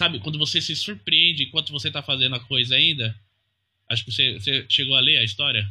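Delivered at a very fast pace in a São Paulo accent, the voice has vocal fry and ordinary pitch variation. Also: man, medium pitch for a man. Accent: Brazilian Portuguese, São Paulo. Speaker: comic letterer. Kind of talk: interview. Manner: halting.

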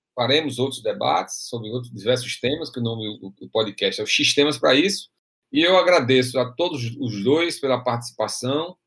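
A man talks at a moderate pace in a medium pitch, varying it in an ordinary way. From Brazil, interior of Rio Grande do Norte (Açu). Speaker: podcast host. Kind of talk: casual discussion podcast. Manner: halting, frequent repetitions.

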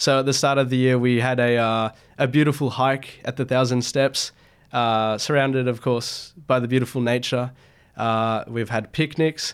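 In an Australian accent, a man at a medium pitch speaks at a moderate pace in a monotone, flat delivery, on a very clean recording with a silent background. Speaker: club academic coordinator, student. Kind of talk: casual interview.

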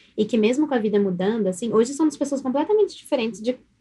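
Lively in intonation, a woman speaks at a very fast pace with a high pitch and a dark, mellow tone. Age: 20s. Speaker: guest. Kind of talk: casual chat.

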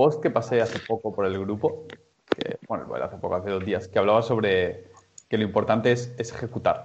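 At a moderate pace, a man talks in a plain, everyday voice with medium pitch and ordinary pitch variation. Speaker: movement coach. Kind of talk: group discussion moderation. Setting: video call.

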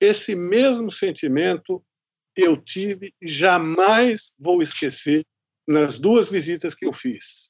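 Speaking at a very slow pace, a man uses a high pitch with ordinary variation. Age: 60s. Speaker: podcast host, journalist. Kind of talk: interview.

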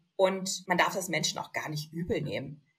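A woman speaks at a medium pitch, somewhat breathy. Her tone is animated. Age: young. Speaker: lipedema influencer and compression wear model. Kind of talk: casual chat.

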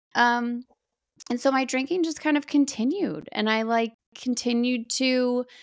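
The recording is very clean with a silent background. A woman speaks at a fairly slow pace. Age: 40s. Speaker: sober mom podcaster and content creator. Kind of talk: interview about personal recovery story.

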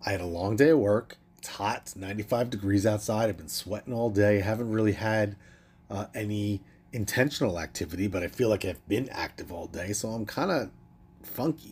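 Big swings in loudness mark a man's fairly low, somewhat breathy voice as he talks at a fairly quick pace. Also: ordinary pitch variation. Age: 40s. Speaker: podcast host and wellness coach. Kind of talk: casual solo monologue.

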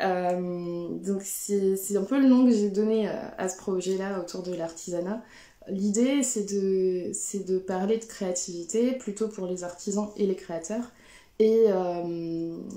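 A woman talks at a very slow pace in a medium pitch with a dark, mellow tone. Her intonation is fairly even, and the room echo is audible. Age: 30s. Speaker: textile craft maker. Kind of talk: live stream talk. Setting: Instagram/Facebook live. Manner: hesitant, many fillers.

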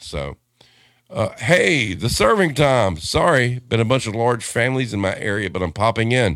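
Vocal fry runs through this man's voice. He talks at a moderate pace with very wide pitch swings. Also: medium pitch for a man. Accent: American. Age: 50s. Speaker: podcast host. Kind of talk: casual chat. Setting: live stream.

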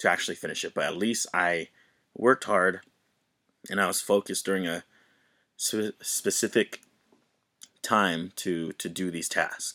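Recorded very cleanly with a silent background and a dry, close sound with no echo, a man speaks in a very deep, low voice with a bright, sharp tone. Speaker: podcast host, father. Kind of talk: solo casual monologue.

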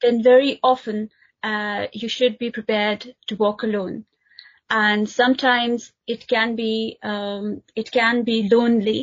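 Somewhat breathy, a woman speaks at a fairly high pitch and fairly slow pace in a monotone, flat intonation. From Pakistan (Multan). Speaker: human rights and interfaith activist. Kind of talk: interview. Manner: halting, many fillers.

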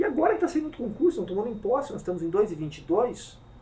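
A man talks at a very fast pace, his pitch swinging very widely. Noticeable background noise runs underneath. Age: 50s. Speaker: police chief. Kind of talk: interview.

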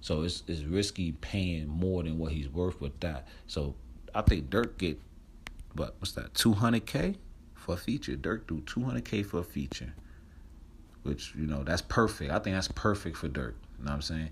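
In an American accent, a man with very deep, low pitch speaks at a moderate pace, his tone animated and intonation lively. Vocal fry runs through his voice. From New Jersey. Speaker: podcast host. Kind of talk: casual chat. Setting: outdoors on a porch.

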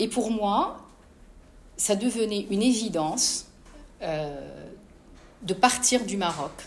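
A woman speaks at a very slow pace with lively intonation and long, frequent pauses, against noticeable background noise. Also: medium pitch for a woman. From Morocco, Casablanca. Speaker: author. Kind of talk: interview at a live book talk.

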